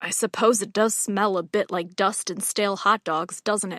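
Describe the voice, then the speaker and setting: Putting on a growling character voice, a woman speaks at a medium pitch and moderate pace with monotone, flat intonation. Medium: read story. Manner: warm, teasing.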